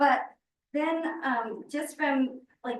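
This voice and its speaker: A woman's voice with ordinary pitch variation. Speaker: school board member. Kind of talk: board meeting discussion.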